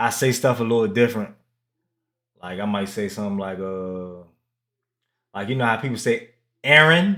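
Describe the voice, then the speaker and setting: With a slight DC accent, a man's medium-pitched, bright and sharp voice moves at a moderate pace with ordinary pitch variation and long, frequent pauses on a very clean recording with a silent background. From Washington DC. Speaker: gaming streamer. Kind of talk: casual chat. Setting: live stream.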